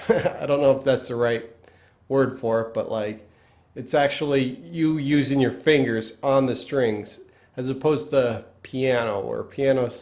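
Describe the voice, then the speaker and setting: The speaker has a Pennsylvania accent, a fairly slow pace and fairly even intonation. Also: man, medium pitch for a man. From northeastern US, Pennsylvania. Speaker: guitar teacher. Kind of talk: tutorial. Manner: casual, halting with fillers.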